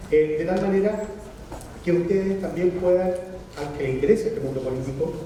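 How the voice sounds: The tone is dark and mellow, the pace moderate, and audible room echo surrounds the voice. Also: man, high pitch for a man, ordinary pitch variation.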